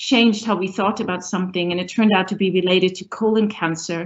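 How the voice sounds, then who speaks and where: Her pitch moves with ordinary variation. The woman keeps a fairly quick pace. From northern Germany. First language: German. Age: middle-aged. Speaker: professor, university dean. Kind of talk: panel discussion.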